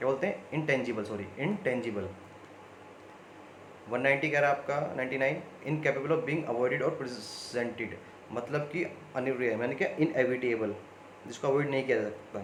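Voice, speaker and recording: A man speaks at a medium pitch with ordinary pitch variation and a moderate pace, broken by long, frequent pauses. Noticeable background noise and audible room echo come through. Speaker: online exam coaching teacher. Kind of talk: video lesson. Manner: conversational.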